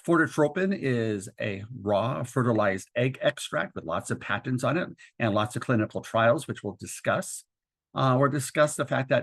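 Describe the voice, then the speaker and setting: Against a quiet background, a man with a normal speaking voice talks at a moderate pace, his medium pitch carried by lively intonation. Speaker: doctor and educator presenting a webinar. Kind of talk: lecture. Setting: webinar.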